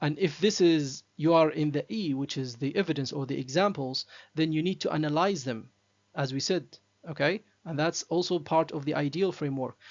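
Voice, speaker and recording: At a moderate pace, a man with a non-native accent speaks in a fairly high voice. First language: not English. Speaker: academic writing teacher. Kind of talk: tutorial. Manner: halting, many fillers.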